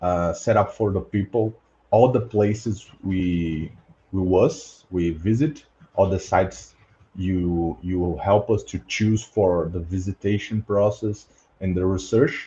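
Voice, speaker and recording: A man speaks slowly-ish in a Portuguese accent, his voice fairly low, dark and mellow. It is somewhat breathy, with ordinary pitch variation, at a fairly slow pace. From Brazil. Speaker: podcast host, past-life researcher. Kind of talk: casual group discussion. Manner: halting, many fillers.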